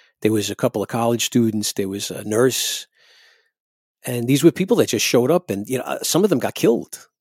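In an American accent, a man speaks at a fairly quick pace and medium pitch with lively intonation. The recording is very clean with a silent background, the sound dry and close with no echo. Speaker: singer and keyboardist in a ska band. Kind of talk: casual interview chat. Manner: casual, conversational.

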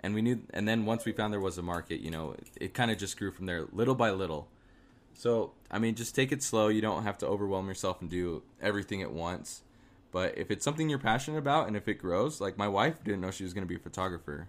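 A man with an American accent talks at a very fast pace with lively intonation and a fairly low pitch, on a very clean recording with a silent background. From Arizona. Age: 20s. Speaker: small business owner. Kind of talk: interview.

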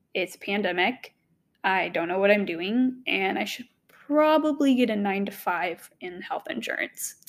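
A woman talks in an unremarkable speaking voice at a medium pitch. Her pace is fairly slow and her intonation lively. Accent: American. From US South, Knoxville, Tennessee. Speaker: podcast host. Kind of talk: solo monologue, personal story.

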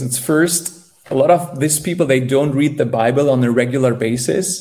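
Over noticeable background noise, a man with a German accent speaks at a moderate pace and a fairly high pitch. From northern Germany. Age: young. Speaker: evangelist. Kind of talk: interview testimony. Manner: halting.

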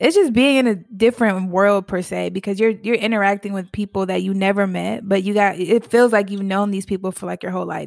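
A woman with an American accent and a normal speaking voice talks at a fairly quick pace with hardly any pauses, a medium pitch and fairly even intonation, in a very clean recording with a silent background. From Virginia. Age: 20s. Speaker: video game streamer. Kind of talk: casual interview.

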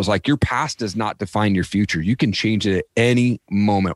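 On a very clean recording with a silent background, a man with an unremarkable speaking voice talks at a fairly quick pace in a fairly low pitch with ordinary pitch variation. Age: 40s. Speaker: podcaster and former addict sharing life story. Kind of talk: interview testimony. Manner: casual, repetitive fillers.

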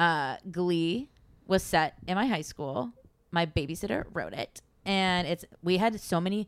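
Using a plain, everyday voice, a woman of medium pitch speaks at a fairly slow pace with lively intonation. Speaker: podcast co-host. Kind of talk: casual chat.

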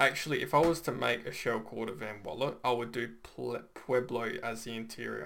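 Using lively intonation and vocal fry, a man talks at a moderate pace with hardly any pauses. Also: medium pitch for a man. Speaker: podcast host. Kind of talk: casual interview chat.

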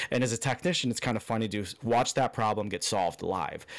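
A man with an American accent talks at a very fast pace and medium pitch. The recording is very clean, with a silent background. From Chicago area, US Midwest. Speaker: motorsport podcast co-host, technician. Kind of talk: casual chat.

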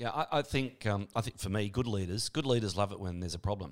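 A man with an Australian accent speaks at a fairly quick pace in a fairly low pitch, with ordinary pitch variation, on a very clean recording with a silent background. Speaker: podcast host and radio presenter. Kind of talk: interview. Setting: studio. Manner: animated.

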